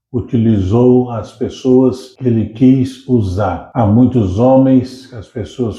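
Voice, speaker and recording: Very slowly and with fairly even intonation, a man talks in a medium-pitched, dark, mellow tone that is somewhat breathy. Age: 70s. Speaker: pastor. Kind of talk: casual chat.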